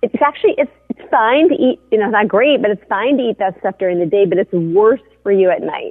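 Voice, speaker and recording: A woman with an unremarkable speaking voice talks at a fairly quick pace with lively intonation. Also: fairly high pitch for a woman, hardly any pauses. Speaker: journalist. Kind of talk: casual chat.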